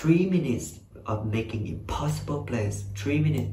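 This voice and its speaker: A man of medium pitch talks at a moderate pace with ordinary pitch variation, with light background noise and audible room echo. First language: Vietnamese. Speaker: YouTuber reacting to music videos. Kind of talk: casual reaction commentary. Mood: enthusiastic, friendly. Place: home room. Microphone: webcam.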